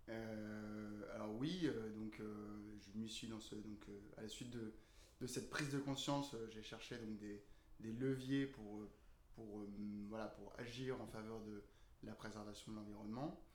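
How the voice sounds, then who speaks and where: Amid audible room echo, a man speaks fairly slowly at a fairly low pitch with fairly even intonation and long, frequent pauses. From northern France, Lille area. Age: 30s. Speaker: co-founder of a food waste composting business. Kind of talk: interview. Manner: halting, many fillers.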